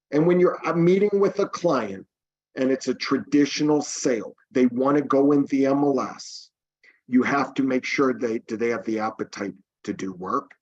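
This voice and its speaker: An ordinary speaking voice from a man, fairly high in pitch, with lively intonation at a moderate pace. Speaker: real estate team leader. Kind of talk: webinar presentation.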